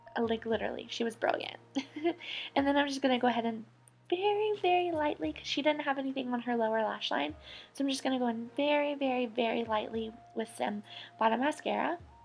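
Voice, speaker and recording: A woman speaks very fast at a high pitch with lively intonation. Noticeable background noise runs underneath. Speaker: beauty vlogger. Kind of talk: makeup tutorial voiceover. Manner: casual chatty.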